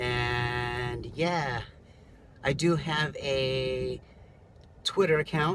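A man speaks very slowly, with light background noise underneath. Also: ordinary pitch variation. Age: 30s. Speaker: rideshare driver and vlogger. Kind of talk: casual vlog monologue. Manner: halting, many fillers. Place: car. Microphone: phone near.

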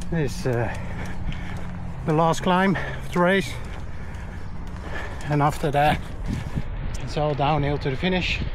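A man speaks at a fairly slow pace with fairly even intonation, in a dry sound with no echo and noticeable background noise. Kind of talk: casual vlog chat. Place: open country. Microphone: phone near.

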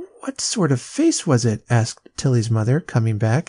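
The pitch moves in a lively way as the text is read aloud in a natural-sounding voice.

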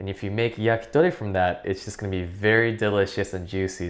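A man talks at a very fast pace. Behind him, the background stays quiet. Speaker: cooking instructor. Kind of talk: tutorial. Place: kitchen.

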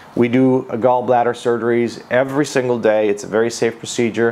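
Moderate pacing from a male speaker. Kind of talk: informational talk to camera. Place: office. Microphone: lapel.

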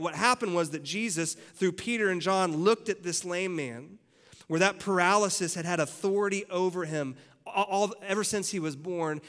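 A man talks at a fairly quick pace in a high-pitched voice. The background is quiet. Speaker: preacher. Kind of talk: church sermon delivered to a live congregation. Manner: energetic, conversational, humorous. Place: church. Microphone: headset.

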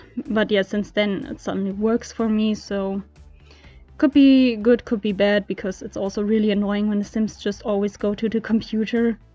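With music in the background, a woman at a medium pitch speaks at a moderate pace with fairly even intonation. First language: not English. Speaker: video game content creator. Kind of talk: casual voiceover for a game build video. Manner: casual, hesitant with fillers.

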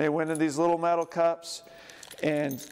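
Fairly slow speech from a man. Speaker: presenter. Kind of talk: lecture. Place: hall.

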